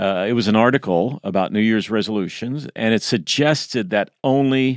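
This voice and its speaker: In a very clean recording with a silent background, a man with a plain, everyday voice talks at medium pitch with lively intonation. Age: 60s. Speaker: podcast co-host. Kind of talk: casual chat.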